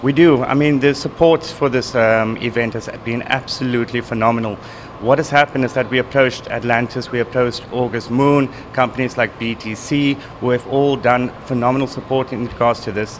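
A man at a fairly quick pace with fairly even intonation, over light background noise. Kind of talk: interview answer. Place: bar. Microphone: handheld.

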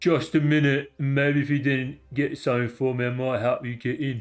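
Put-on character voice from a man, medium in pitch. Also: moderate pace. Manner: gruff, bargaining.

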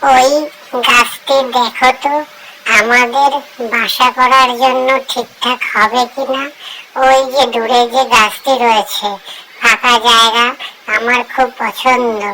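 A cartoonish character voice, female-sounding and high-pitched, delivers its lines at a fairly slow pace with monotone, flat intonation. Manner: warm, earnest.

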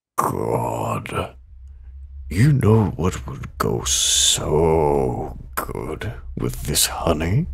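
A man uses a put-on character voice, raspy and very deep and low in pitch. He speaks at a very slow pace over light background noise. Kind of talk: comic dub. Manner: calm.

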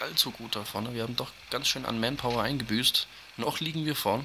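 A man talks at a very fast pace with fairly even intonation. Noticeable background noise can be heard. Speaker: gaming YouTuber. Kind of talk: gameplay commentary. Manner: casual, with fillers.

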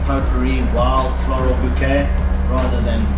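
A man talks at a moderate pace. There is music in the background. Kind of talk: tasting presentation. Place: open country.

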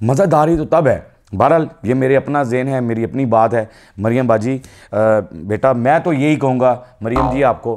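The pace is moderate. A man talks, his pitch moving in an ordinary way. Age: 50s. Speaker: comedian. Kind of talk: comedic political commentary. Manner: animated. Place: studio. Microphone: lapel.

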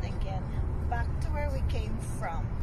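A woman speaks at a fairly slow pace in a dry sound with no echo. Loud background noise is present. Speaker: vlogger filming a birthday outing. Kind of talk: casual vlog chat. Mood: cheerful, laughing. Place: car. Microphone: phone near.

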